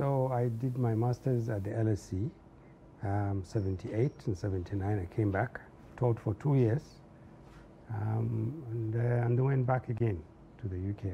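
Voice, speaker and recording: With a dark, mellow tone and a somewhat breathy quality, a man speaks at medium pitch with ordinary pitch variation over light background noise. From northern Nigeria, Zaria. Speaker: civil society activist and former public servant. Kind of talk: interview. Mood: calm, reflective. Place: studio.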